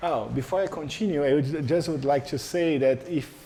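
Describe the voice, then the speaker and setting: Music plays behind a man speaking with a Portuguese accent. The room echo is audible. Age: 40s. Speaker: professor. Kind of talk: lecture. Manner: halting.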